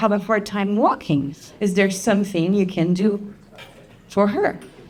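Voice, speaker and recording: Noticeable background noise sits under the recording. A woman speaks at a medium pitch and a fairly slow pace. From France. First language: French. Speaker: chiropractor. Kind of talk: presentation to an audience.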